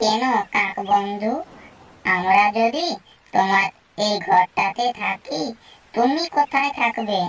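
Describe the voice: In a cartoonish character voice, a female-sounding voice at medium pitch moves along at a very slow pace.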